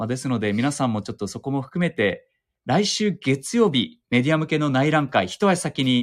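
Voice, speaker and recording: A man talks at a moderate pace and medium pitch, with lively intonation and a plain, everyday voice. The recording is very clean, with a silent background. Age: 30s. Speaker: TV news anchor. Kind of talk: casual chat. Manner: casual with filler words.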